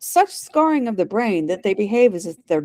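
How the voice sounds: A natural reading voice carries the whole clip.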